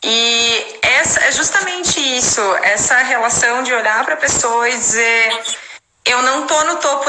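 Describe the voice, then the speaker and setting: The woman's pitch is fairly high. Noticeable background noise and audible room echo fill the recording. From Brazil. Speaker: English teacher and translator. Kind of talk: casual chat. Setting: live stream.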